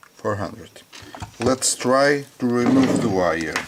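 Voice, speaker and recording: Very slow speech with lively intonation and noticeable background noise. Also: man. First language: not English. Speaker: hobbyist tech reviewer. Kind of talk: product test demonstration. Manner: halting, many fillers and repetitions.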